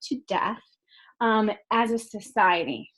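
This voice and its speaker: A woman speaks at a fairly slow pace. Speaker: college instructor. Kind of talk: lecture. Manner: many filler ums.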